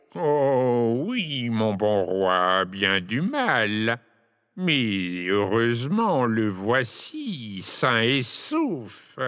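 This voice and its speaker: A man at medium pitch delivers his words very slowly in a put-on character voice. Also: lively intonation, very even loudness. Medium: read story. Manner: ingratiating, nervous.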